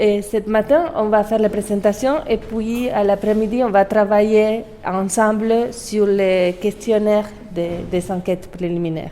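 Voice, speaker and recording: A woman's fairly high voice with a Spanish accent over noticeable background noise. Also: ordinary pitch variation, fairly slow pace. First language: Spanish (speaking French). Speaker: forensic anthropologist. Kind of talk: lecture. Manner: halting.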